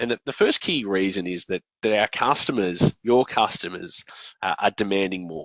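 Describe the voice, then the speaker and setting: Speaking in an Australian accent, a man's voice sits fairly low. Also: ordinary pitch variation, moderate pace. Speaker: software company founder and presenter. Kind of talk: conference presentation. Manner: hesitant, many fillers.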